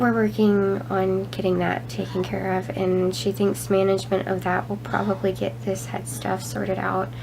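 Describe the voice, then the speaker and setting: A woman talks fairly slowly, with noticeable background noise around her. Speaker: chronic illness vlogger. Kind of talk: casual talk to camera.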